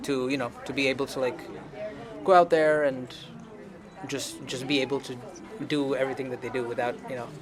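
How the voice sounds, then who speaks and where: With music in the background, a man of medium pitch talks at a fairly quick pace. His intonation is fairly even, and he takes long, frequent pauses. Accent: Tamil. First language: Tamil. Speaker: band singer and producer. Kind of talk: interview. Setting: at an anime convention.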